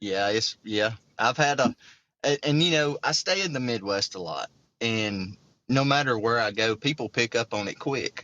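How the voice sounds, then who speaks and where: A man with a Southern US accent at a moderate pace, showing ordinary pitch variation. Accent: Southern twang. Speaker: hunter. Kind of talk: casual chat.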